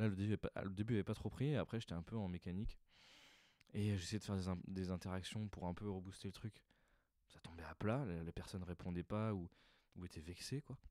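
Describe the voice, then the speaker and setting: A man speaks at a fairly quick pace in a very deep, low voice with a deadpan tone. Long, frequent pauses break up the dry, echo-free sound. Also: quiet background. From France. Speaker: stand-up comedian. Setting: recording alone at home in the evening. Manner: casual, hesitant, improvised, filler-heavy, deadpan and self-deprecating. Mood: reflective, slightly rueful. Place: home room. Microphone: handheld.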